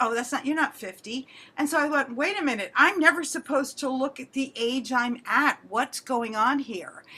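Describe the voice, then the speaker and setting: Projecting a raised voice, a woman speaks at a high pitch and a moderate pace with lively intonation. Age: 60s. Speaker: actor and speaker. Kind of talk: short guest talk on a video call.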